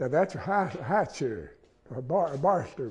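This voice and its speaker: A man with an Appalachian accent speaks at a moderate pace in a fairly high voice, his intonation lively and edged with vocal fry. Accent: Appalachian Southern US. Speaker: chair maker. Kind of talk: interview. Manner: halting.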